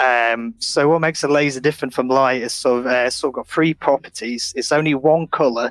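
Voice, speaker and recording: In a dry, close recording with no echo, a man with a Yorkshire accent talks at a fairly quick pace, with hardly any pauses and fairly even intonation. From Sheffield, northern England. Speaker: laser factory worker. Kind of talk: casual interview. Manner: halting.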